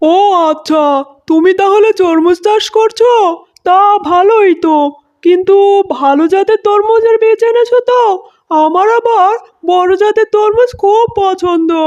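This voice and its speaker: A cartoonish character voice pitched extremely high. The pace is moderate. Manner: genial.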